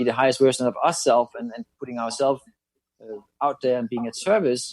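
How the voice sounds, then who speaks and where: A man with a Danish accent at a fairly quick pace and medium pitch, with dry, close sound and no echo. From Denmark. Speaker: psychic channeler. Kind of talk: interview.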